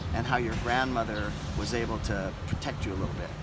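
Loud noise fills the background as someone with an American accent speaks at a moderate pace. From United States. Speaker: tour company host. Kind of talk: interview. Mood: gentle, tentative. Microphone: phone near.

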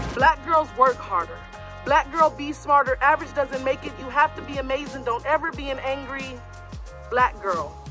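Clear background music behind a woman's moderately paced speech. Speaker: spoken word poet. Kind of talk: spoken word poetry performance. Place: garden. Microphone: phone near.

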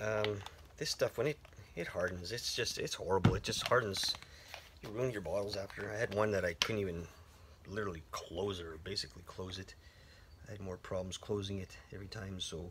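With noticeable background noise behind him, a man of fairly low pitch talks at a fairly quick pace with fairly even intonation, broken by long, frequent pauses. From French Canada. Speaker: woodcarver and video creator. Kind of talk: tutorial. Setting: workshop, filming alone. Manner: casual, many repetitions and fillers; talkative. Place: garage. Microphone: phone near.

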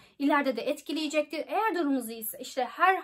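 Talking at a fairly quick pace, a woman uses lively intonation. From Turkey. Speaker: YouTuber giving study-abroad advice. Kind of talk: informational vlog. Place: home room. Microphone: phone near.

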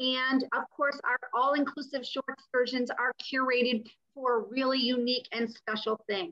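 At a moderate pace, a woman with a high pitch keeps her intonation fairly even against a quiet background. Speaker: cruise line representative. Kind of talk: sales presentation on a panel. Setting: online panel call. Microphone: video call.

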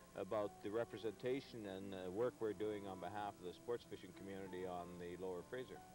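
Over clear background music, a man with a fairly low voice speaks at a fairly quick pace in a dry recording with no echo. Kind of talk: interview answer. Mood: calm, earnest. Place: waterside. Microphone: lapel.

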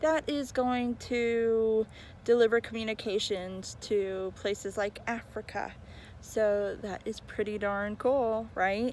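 Very slow speech from a woman, fairly even in intonation, with a dry, echo-free sound and light background noise. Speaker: rideshare driver vlogger. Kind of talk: casual vlog chat. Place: street. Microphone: phone near.

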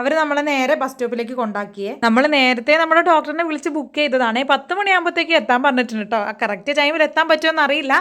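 The tone is bright and sharp. Pitch varies in an ordinary way. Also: woman, high pitch for a woman. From Kerala, Malappuram (Nilambur). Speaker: family vlogger. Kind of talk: vlog narration. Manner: chatty, conversational.

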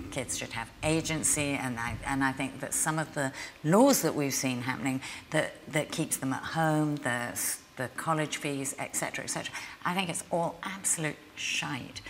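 Over light background noise, a woman speaks at a fairly slow pace with a very deep, low pitch and ordinary pitch variation. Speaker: interviewee. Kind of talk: interview answer. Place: hall.

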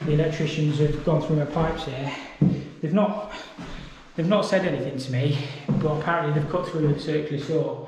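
A man talks at a fairly quick pace with fairly even intonation. Audible room echo and light background noise come through. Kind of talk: casual vlog chat. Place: home room. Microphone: phone near.

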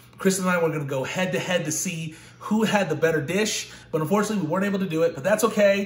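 A man at a very fast pace, fairly even intonation, audible room echo around him. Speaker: cooking channel host. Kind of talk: casual vlog chat. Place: kitchen. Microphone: phone near.

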